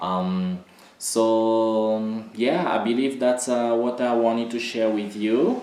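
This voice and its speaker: A man speaks with fairly low pitch. Audible room echo surrounds his voice. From Republic of Congo. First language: not English. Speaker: dance artist and choreographer. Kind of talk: educational talk. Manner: halting, many fillers.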